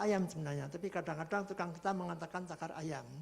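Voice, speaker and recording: This man speaks in a high pitch. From Central Java (Purwokerto). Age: 60s. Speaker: retired construction instructor. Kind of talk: online presentation.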